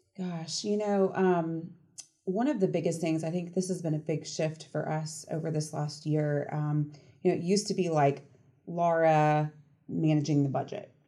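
A woman with an American accent talks in a dark, mellow tone. Her pitch sits fairly low and her intonation stays fairly even. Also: moderate pace. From US South, Atlanta area. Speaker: nonprofit CEO. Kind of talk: casual interview. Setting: on location at her organization.

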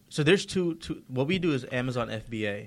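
In an unremarkable speaking voice, a man speaks at a moderate pace with a fairly high pitch and lively intonation. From Georgia, US. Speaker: entrepreneur. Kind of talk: casual interview. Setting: studio.

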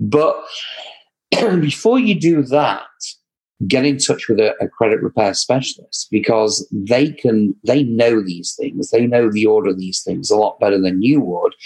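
Speaking slowly but not sluggishly, a man with an English accent uses medium pitch and lively intonation. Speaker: credit repair specialist. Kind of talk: interview answers, explanatory talk. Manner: preachy, animated.

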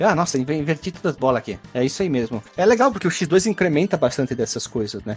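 Rushing at a very fast pace with hardly any pauses, a man sounds somewhat breathy. His fairly high pitch takes very wide swings. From Caxias do Sul, Rio Grande do Sul, Brazil. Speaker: podcast host. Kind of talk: casual chat.

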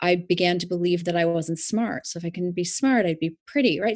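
A plain, everyday voice with ordinary pitch variation. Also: woman. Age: 40s. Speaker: life coach. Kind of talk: interview.

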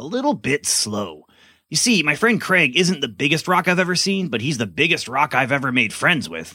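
A man speaks with a bright, sharp tone and vocal fry. His pitch swings very widely. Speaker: pastor and podcast host. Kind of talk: kids' family podcast hosting and scripted skit.

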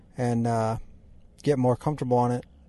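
With an American accent, a man speaks at a moderate pace and medium pitch in a dark, mellow tone, his intonation monotone and flat against a quiet background. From US Midwest. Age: 40s. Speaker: motocross racer and firefighter. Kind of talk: casual chat.

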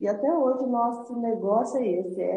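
The woman has an unremarkable speaking voice with ordinary pitch variation. She speaks at a moderate pace. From southern Minas Gerais, Brazil. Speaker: entrepreneur, lingerie company founder. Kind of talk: interview, life story.

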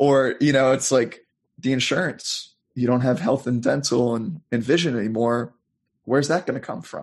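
This man speaks with an American accent and a slightly husky edge. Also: medium pitch for a man, ordinary pitch variation, moderate pace.

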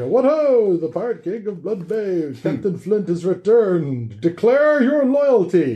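A man puts on a character voice with a high pitch. He talks at a fairly slow pace with hardly any pauses. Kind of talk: theatrical, old-fashioned.

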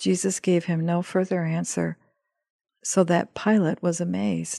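A woman's fairly low voice in a solemn tone, fairly slow and fairly even in intonation, dry and close with no echo, over a quiet background. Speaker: podcast host and scripture reader. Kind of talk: scripted devotional reading of scripture and prayer. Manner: solemn, reverent, measured.

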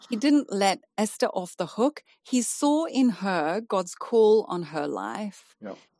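The tone is dark and mellow, moving at a very slow pace with hardly any pauses and very wide pitch swings. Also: woman, medium pitch for a woman. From South Africa. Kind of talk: interview about faith and life story.

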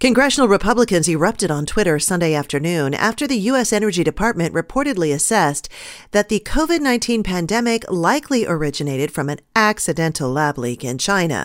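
A woman at a medium pitch, very fast and with hardly any pauses, her pitch swinging very widely in a very clean recording with a silent background. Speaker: radio news anchor. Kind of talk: radio newscast reading headlines, stories and sponsor reads. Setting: studio. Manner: crisp, brisk news-desk delivery with occasional wry editorial asides.

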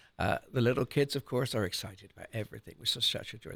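A man with an English accent. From Cornwall, southwest England. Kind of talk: radio interview. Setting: studio.

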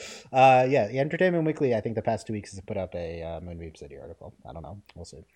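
Very fast delivery with hardly any pauses, very wide pitch swings and big swings in loudness. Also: man, fairly low pitch for a man. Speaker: podcast host. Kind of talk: casual podcast chat about a show. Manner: laughs often, banter.

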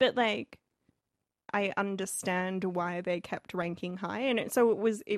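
With a plain, everyday voice, a woman speaks fairly slowly at a medium pitch with ordinary pitch variation, the sound dry and close with no echo over a quiet background. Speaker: podcast co-host. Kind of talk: casual chat.

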